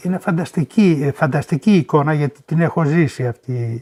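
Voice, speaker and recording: A man talks at a very slow pace in a dark, mellow, somewhat breathy voice. The sound is dry and close with no echo, on a very clean recording with a silent background. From Boeotia, Greece. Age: 70s. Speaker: Sarakatsani oral history witness. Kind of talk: interview answer.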